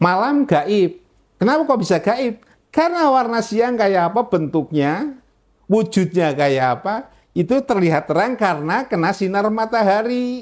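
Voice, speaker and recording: A man with a high pitch talks at a fairly slow pace, his loudness very even and his pitch swinging very widely. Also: quiet background. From Central Java, Indonesia (Magelang); Central Java, Indonesia. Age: 80s+. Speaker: convert to Islam, former pastor, religious teacher. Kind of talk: testimony interview. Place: office. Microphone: lapel.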